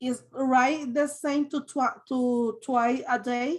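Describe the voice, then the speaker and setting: The speaker has a Spanish accent and talks at a very slow pace. The intonation stays fairly even. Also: woman. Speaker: adult English learner. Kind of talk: online language class. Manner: halting.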